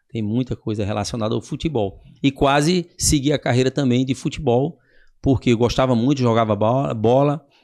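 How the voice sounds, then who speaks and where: Heard in a very clean recording with a silent background, a man with a plain, everyday voice speaks at a moderate pace and medium pitch with ordinary pitch variation. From Northeast Brazil, Paraíba then Recife. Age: 60s. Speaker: physical education professional. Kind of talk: podcast interview.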